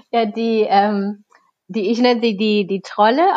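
A woman speaks at a fairly high pitch and a fairly slow pace, with ordinary pitch variation. It is an ordinary speaking voice. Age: 30s. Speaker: children's book author. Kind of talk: interview conversation.

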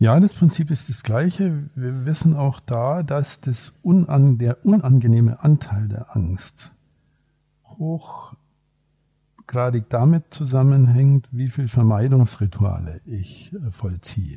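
A man with a medium pitch and a dark, mellow tone speaks at a very slow pace, somewhat breathy, with lively intonation. The sound is dry and close, with no echo. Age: 60s. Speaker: psychologist and executive coach. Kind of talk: casual chat. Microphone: poor sound quality in first episode.

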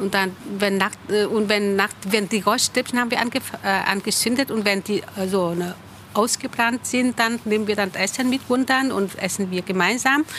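Over noticeable background noise, a woman with a medium-pitched voice talks at a moderate pace, her loudness very even and her pitch moving in an ordinary way. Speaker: member of a Vietnamese Buddhist community. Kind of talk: interview. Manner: halting.

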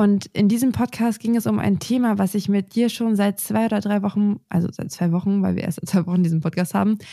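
A woman's somewhat breathy voice with a dark, mellow tone, dry and close with no echo, in a very clean recording with a silent background. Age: 20s. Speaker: gardening podcast co-host. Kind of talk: casual chat.

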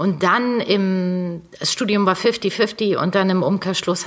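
The speech moves at a very slow pace with ordinary pitch variation. Noticeable background noise can be heard. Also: woman. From northern Germany, North Sea coast. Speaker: fashion designer, former copywriter. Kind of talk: interview.

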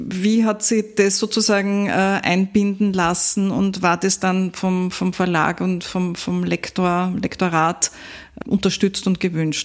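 Very slow pace and monotone, flat intonation. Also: woman, medium pitch for a woman. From Upper Austria. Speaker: podcast host. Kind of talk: interview.

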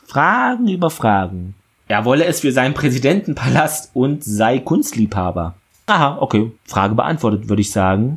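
Very wide pitch swings mark a man's somewhat breathy, medium-pitched voice, which keeps a very even loudness at a moderate pace. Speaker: podcast host recapping TV series. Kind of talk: episode recap monologue.

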